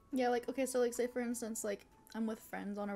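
A woman's cheerful voice at a fairly quick pace with fairly even intonation, faint music in the background. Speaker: vtuber streamer. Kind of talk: live mukbang eating ASMR, casual chatty talk. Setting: live stream with chat, eating food. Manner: casual, chatty, cheerful. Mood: chatty, upbeat, giggly. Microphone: studio mic.

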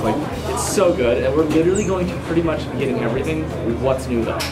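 A man talks at a very fast pace. Loud music plays in the background. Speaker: food vlogger. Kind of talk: casual vlog chat. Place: cafe. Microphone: phone near.

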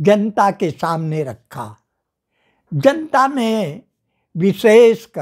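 A man speaks very slowly in a high voice with very wide pitch swings, over a quiet background. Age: 90s. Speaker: veteran political worker. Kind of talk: interview. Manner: formal. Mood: critical political commentary. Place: home room. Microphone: lapel.

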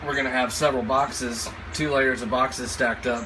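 With noticeable background noise behind him, a man speaks at a fairly quick pace. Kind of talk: tutorial. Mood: light, joking. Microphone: phone near.

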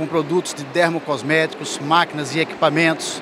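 The man talks at a moderate pace with a monotone, flat intonation. The sound is dry with no echo, and there is noticeable background noise. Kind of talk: interview answer. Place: hall. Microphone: handheld.

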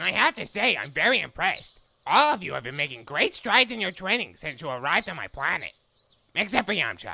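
A put-on character voice at a middle pitch, swooping through very wide pitch swings at a very fast pace. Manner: irritable, explosive.

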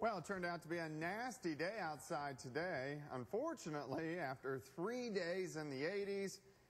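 A man's fairly high-pitched voice with lively intonation at a moderate pace. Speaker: television chief meteorologist. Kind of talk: TV weather forecast broadcast. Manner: conversational, on-air. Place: studio. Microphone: lapel.

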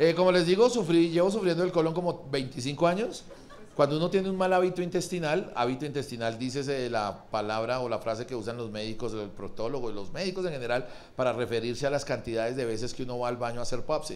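A man at a very fast pace, animated in tone, with lively intonation. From Colombia, Pereira; Colombia. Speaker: stand-up comedian. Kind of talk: improvised stand-up. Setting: stage with audience. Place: stage. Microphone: handheld.

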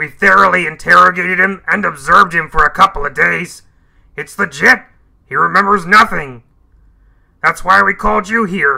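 A man's put-on character voice, high-pitched, at a moderate pace with long, frequent pauses. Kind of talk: video game character dialogue.

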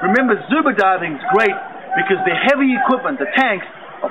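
With noticeable background noise around him, a man delivers his words at a fairly quick pace. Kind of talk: product introduction talk. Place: waterside.

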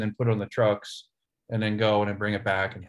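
A somewhat breathy man with an American accent, a fairly quick pace, and a quiet background. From Ohio, US Midwest. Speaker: session drummer; guest. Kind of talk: casual chat. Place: office. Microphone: video call.

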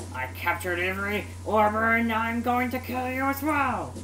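A woman performs a put-on character voice at a moderate pace. Clear background noise runs underneath. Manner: sinister, menacing.

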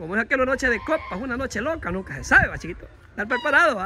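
Over light background noise, a man speaks in a high voice. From Honduras. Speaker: YouTube vlogger giving money to people. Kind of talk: casual chat. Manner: animated. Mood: cheerful, joking. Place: street. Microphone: phone near.

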